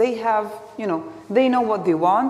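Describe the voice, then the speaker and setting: Someone with a Palestinian accent talks at a moderate pace with ordinary pitch variation, and room echo is audible. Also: woman. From Israel, Galilee village (Palestinian citizen). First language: Arabic. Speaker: activist. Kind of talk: public talk. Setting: lecture hall with audience. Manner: halting.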